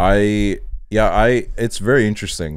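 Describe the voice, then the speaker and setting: The voice here is a man's. The recording is very clean, with a silent background. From Estonia. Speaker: podcast host. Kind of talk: casual chat.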